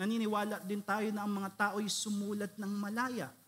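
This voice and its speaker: The man's voice is high in pitch, and his pace is fairly slow. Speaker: pastor, conference speaker. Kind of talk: theological lecture / sermon-style conference talk.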